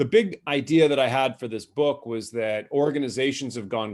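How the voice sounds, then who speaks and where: A plain, everyday voice with an American accent speaks at a moderate pace with ordinary pitch variation. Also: man. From North America. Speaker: author and cross-cultural business speaker. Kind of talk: webinar presentation. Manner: informal, many fillers and repetitions.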